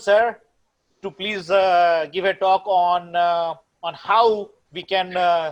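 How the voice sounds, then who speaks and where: A man speaks in a high voice. His intonation is flat and monotone. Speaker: panel moderator. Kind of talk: panel talk. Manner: halting.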